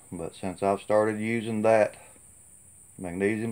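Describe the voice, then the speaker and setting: A man's fairly low, relaxed voice, fairly slow and monotone, with flat intonation. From Tennessee. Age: 50s. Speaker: gardener vlogger. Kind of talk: casual vlog talk to camera. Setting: outdoors. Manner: relaxed, folksy with many fillers. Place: farm machine. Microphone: phone near.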